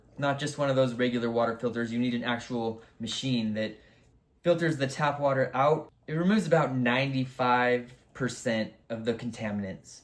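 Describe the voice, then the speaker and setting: A man's medium-pitched voice at a moderate pace with fairly even intonation. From Southern California. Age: 30s. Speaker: spiritual content creator. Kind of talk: casual vlog monologue.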